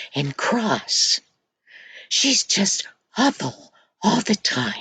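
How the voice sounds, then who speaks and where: A woman whispers at a very slow pace. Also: dry, close sound with no echo. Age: old. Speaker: storyteller for children. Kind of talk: reading aloud a story to children.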